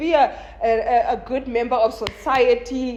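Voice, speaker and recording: An animated, high-pitched female voice with ordinary pitch variation, amid noticeable background noise. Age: 20s. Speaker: content creator. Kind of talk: casual chat. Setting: filmed with a phone camera.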